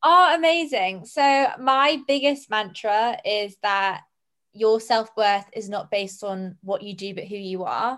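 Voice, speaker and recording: In a British accent, a woman speaks fairly slowly at a fairly high pitch with lively intonation and big swings in loudness. The background is quiet. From Jersey, Channel Islands. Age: 20s. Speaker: entrepreneur. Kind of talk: casual chat.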